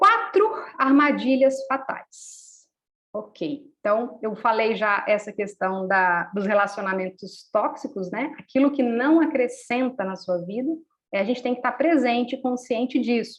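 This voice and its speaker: A woman speaks at a fairly slow pace with lively intonation. Her pitch is high. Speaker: workshop facilitator. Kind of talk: live online workshop talk.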